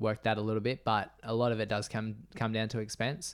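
In a very clean recording with a silent background, a man with an Australian accent speaks at a medium pitch. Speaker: ultra runner. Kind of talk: casual interview chat.

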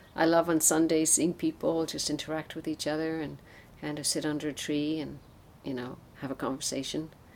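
Speaking at a fairly quick pace in an Irish accent, a woman has a very deep, low pitch and a monotone, flat intonation. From Ireland, Newbridge (County Kildare). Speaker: temple president. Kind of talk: interview.

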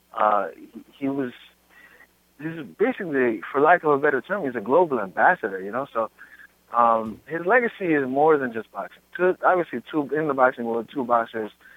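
A man with a plain, everyday voice and a fairly high pitch speaks with big swings in loudness. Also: fairly quick pace. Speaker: caller. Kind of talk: casual phone conversation.

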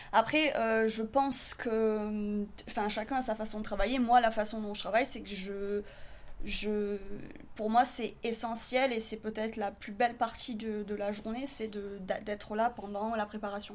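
A woman at a fairly slow pace, monotone and flat in intonation, with big swings in loudness. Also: fairly high pitch for a woman. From southern France. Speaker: photographer. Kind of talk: interview.

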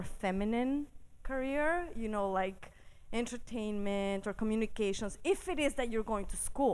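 A woman speaks at a fairly high pitch and a fairly slow pace. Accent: Spanish. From Mexico City. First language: Spanish. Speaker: physicist and science TV host. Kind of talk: live storytelling. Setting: stage with audience.

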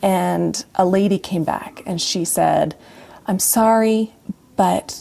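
A woman with an American accent speaks at a very slow pace. Her pitch is medium and her intonation fairly even. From northern Utah. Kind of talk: interview testimony.

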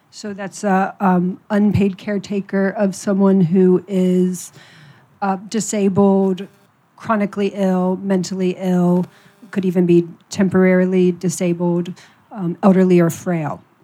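A woman with an American accent speaks fairly slowly at medium pitch in a dark, mellow tone with monotone, flat intonation. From US Midwest, Ohio. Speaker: writer, editor and carer advocate. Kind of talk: panel talk.

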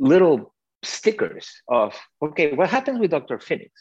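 A man with a non-native accent speaks with vocal fry and very wide pitch swings. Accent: foreign-accented English. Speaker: cinematographer. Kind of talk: panel Q&A interview. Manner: animated.

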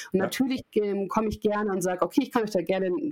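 A woman talks at a very fast pace. Her voice sits at medium pitch with ordinary pitch variation. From Munich, Bavaria. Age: 30s. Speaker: learning and development consultant, former TV presenter. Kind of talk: podcast interview.

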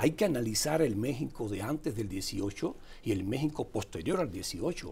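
A man speaks at a fairly slow pace and medium pitch, his tone dark, mellow and somewhat breathy. His pitch swings very widely. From Cuba. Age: 50s. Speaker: political columnist. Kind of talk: political commentary chat.

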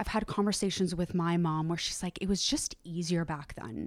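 With ordinary pitch variation, a plain, everyday voice moves at a fairly quick pace. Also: woman. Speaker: yoga instructor and founder. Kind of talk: casual interview chat.

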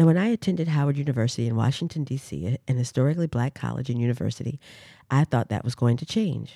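A woman with an American accent, a very deep, low pitch and a dark, mellow tone, talking at a very fast pace with lively intonation. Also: dry, close sound with no echo, very clean recording, silent background. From US South, Durham, North Carolina. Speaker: professional dancer and podcast host. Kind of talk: reflective solo monologue.

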